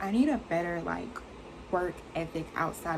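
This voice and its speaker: Soft-spoken and fairly slow, a woman with a fairly low pitch and ordinary pitch variation talks amid audible room echo and noticeable background noise. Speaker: beauty vlogger. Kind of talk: casual chat. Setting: bedroom.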